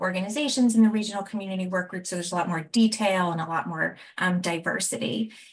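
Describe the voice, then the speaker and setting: The woman talks at a very fast pace. Her voice is somewhat breathy. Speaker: evaluation researcher presenting findings. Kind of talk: presentation of findings in a video meeting.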